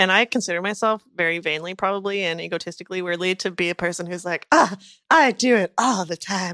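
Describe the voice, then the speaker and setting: A loud woman's voice with a medium pitch and a bright, sharp tone at a fairly quick pace, its sound dry and close with no echo over a quiet background. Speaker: podcast co-host. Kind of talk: casual chat. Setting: bungalow with rain outside.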